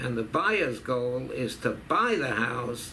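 There is light background noise behind a man speaking. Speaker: interviewee. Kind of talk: interview answer. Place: office.

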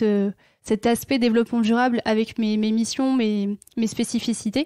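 A woman talks at a fairly quick pace in a fairly high, dark and mellow voice, her flat, monotone delivery recorded dry and close with no echo. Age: 30s. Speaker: sustainability manager at a department store. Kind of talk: interview.

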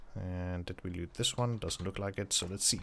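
On a very clean recording with a silent background, a man speaks quietly in a very deep, low pitch with ordinary pitch variation. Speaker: gaming YouTuber. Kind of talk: gameplay commentary. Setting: at home late at night.

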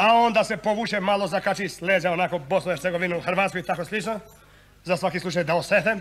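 Very fast and high-pitched, a man delivers his lines in an animated, deadpan tone. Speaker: monodrama actor, satirical comedian. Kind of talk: satirical monodrama on stage, comic political monologue. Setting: stage with audience. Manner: animated, sarcastic, deadpan punchlines; switches between voices and dialects, conversational rhythm.

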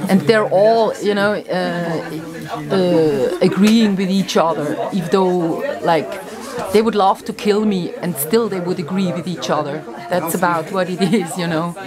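Over crowd noise in the background, the speaker talks at a fairly slow pace. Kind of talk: casual vlog chat. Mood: wry, annoyed.

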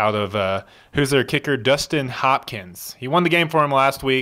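A man speaks at a moderate pace with ordinary pitch variation and a bright, sharp tone. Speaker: podcast co-host. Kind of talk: casual sports chat. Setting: studio. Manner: animated. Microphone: studio mic.

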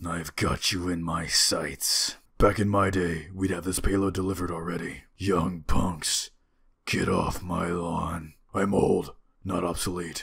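A man uses a raspy, put-on character voice at a very deep, low pitch. He speaks at a fairly slow pace with monotone, flat intonation. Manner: gruff.

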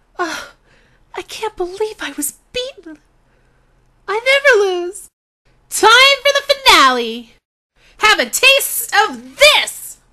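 A put-on character voice sits at an extremely high pitch. It moves at a fairly slow pace with long, frequent pauses. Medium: voice reel. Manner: taunting.

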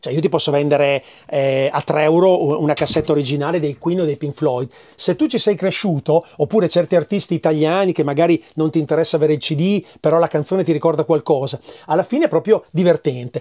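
Against a quiet background, a man with a fairly high pitch and a dark, mellow tone talks at a fairly quick pace with ordinary pitch variation. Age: 50s. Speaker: record shop owner. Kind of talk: casual interview, shop tour. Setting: in his record shop. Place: shop. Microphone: lapel.

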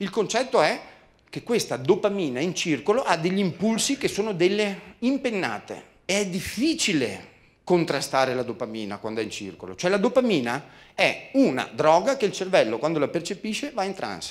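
This man's voice sits high for a man and swings very widely in pitch, animated in tone at a moderate pace. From Veneto, Italy (Treviso); Veneto, Italy. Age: 50s. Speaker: motivational speaker and communication trainer; motivational speaker, communication trainer. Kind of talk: seminar talk. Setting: stage with audience. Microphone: handheld.

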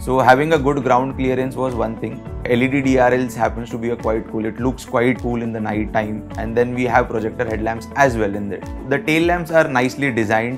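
Clear music plays in the background as a man speaks at a fairly quick pace. His pitch moves in an ordinary way. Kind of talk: interview answer. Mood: enthusiastic, positive. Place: home room.

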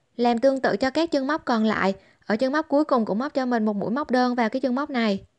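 Against a quiet background, a woman talks very fast in a high voice with ordinary pitch variation and a dry, close sound with no echo. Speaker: crochet tutorial maker. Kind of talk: tutorial.

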